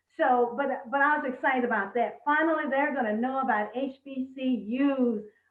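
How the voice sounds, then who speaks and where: A woman's high voice with fairly even intonation and hardly any pauses. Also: moderate pace. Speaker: retired educator. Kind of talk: panel interview.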